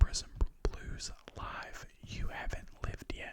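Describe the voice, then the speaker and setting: A man is whispering. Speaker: ASMR creator. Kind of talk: ASMR record haul talk. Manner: soft-spoken.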